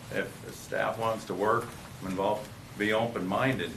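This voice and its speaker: Speaking in an Upper Midwest accent, a man with a fairly low pitch keeps a moderate pace, with audible room echo and noticeable background noise. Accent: Upper Midwest American. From Dayton, Minnesota. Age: 60s. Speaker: developer. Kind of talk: public meeting discussion.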